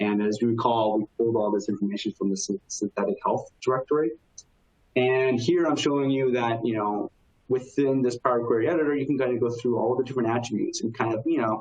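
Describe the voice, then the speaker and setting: Over noticeable background noise, a man talks very fast with very even loudness. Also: medium pitch for a man, ordinary pitch variation. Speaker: technology consultant presenting software demo. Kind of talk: webinar software demo. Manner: casual with many fillers.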